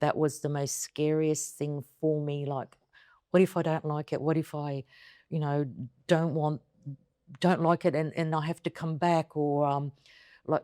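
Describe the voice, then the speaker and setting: A woman's very deep, low voice with an Australian accent, dark and mellow in tone, flat and monotone, at a fairly slow pace with long, frequent pauses, dry and close with no echo, on a very clean recording with a silent background. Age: 50s. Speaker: interviewee, returning emigrant. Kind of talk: interview conversation.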